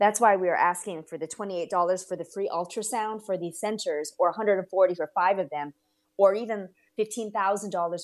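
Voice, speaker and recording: At a fairly slow pace, a woman with an ordinary speaking voice and a medium pitch talks with ordinary pitch variation on a very clean recording with a silent background. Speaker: ministry representative. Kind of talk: interview.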